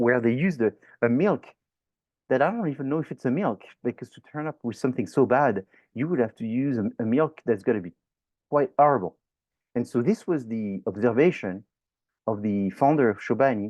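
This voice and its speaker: Lively in intonation and fairly quick in pace, a man with a French accent speaks at a medium pitch, with big swings in loudness. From France. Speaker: professor. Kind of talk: lecture. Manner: animated.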